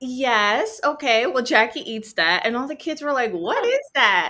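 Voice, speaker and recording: A woman with a New Jersey accent speaks with lively intonation. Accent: US Northeast (New Jersey). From Central New Jersey, Cuban American family. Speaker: writer and actor. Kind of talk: interview conversation. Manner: hesitant, many fillers.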